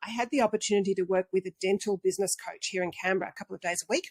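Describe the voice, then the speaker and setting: A woman speaks with an Australian accent at a very fast pace. The sound is dry and close with no echo. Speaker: dental marketing consultant. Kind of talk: interview.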